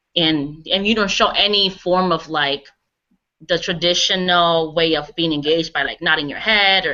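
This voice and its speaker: Speaking with a Spanish accent, a woman keeps her pitch fairly low. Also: fairly even intonation, moderate pace. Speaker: graduate student running a focus group. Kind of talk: focus group discussion.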